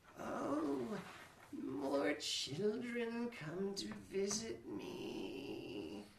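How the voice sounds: A man puts on a croaky character voice, speaking at a very slow pace over clear background noise.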